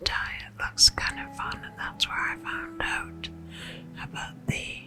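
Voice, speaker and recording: Music plays in the background as a woman whispers in a soothing tone at a very slow pace. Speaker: ASMR creator. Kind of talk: ASMR whisper ramble. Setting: lo-fi home recording. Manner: whispered; soft-spoken, soothing.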